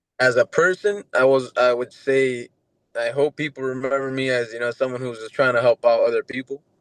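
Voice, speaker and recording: Dry and close with no echo, a man speaks at a medium pitch and a fairly quick pace with fairly even intonation. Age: 20s. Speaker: MMA fighter. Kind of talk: casual interview. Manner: halting.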